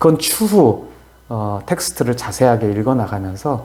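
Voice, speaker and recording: Room echo is audible, along with noticeable background noise. The pace is fairly slow. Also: man. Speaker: philosophy scholar explaining a classical text. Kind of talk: lecture-style discussion. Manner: hesitant, many fillers.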